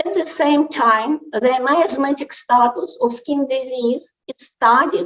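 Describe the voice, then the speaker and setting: Hardly any pauses break this very slow delivery, which carries lively intonation. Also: woman. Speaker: homeopathic doctor and dermatologist. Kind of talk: conference presentation. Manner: halting; quiet. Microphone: mic too far, low volume.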